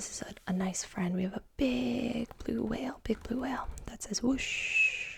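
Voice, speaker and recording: A woman talks at a fairly slow pace with hardly any pauses. Noticeable background noise sits behind her. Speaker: ASMR creator. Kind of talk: children's picture book reading with commentary. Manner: soft, slow, sing-song.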